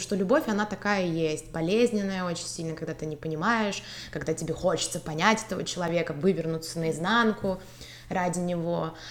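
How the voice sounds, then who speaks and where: This woman has a plain, everyday voice at a medium pitch, with lively intonation. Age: 20s. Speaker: marketing student, consultant and part-time model. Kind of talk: personal testimony in casual interview.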